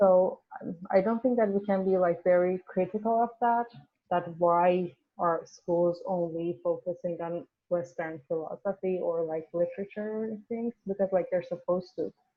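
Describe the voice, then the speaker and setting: A woman speaks with a Persian accent. Her pace is moderate and her intonation fairly even. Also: medium pitch for a woman. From Iran. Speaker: university student. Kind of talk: casual class discussion. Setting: video call. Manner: halting, many fillers.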